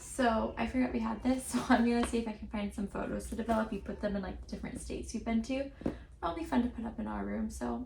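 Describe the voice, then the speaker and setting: Someone whispers at a very fast pace. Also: woman. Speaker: lifestyle vlogger. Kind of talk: casual vlog narration. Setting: at home. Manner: whispering.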